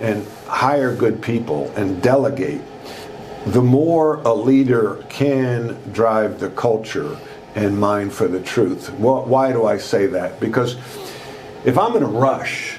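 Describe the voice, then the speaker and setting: A man with a Long Island accent talks at a very slow pace, medium pitch and ordinary pitch variation. Audible room echo and noticeable background noise fill the recording. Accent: New York (Long Island) American. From US Northeast, Long Island, New York. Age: 60s. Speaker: former basketball coach and business trainer. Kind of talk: interview storytelling. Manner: animated.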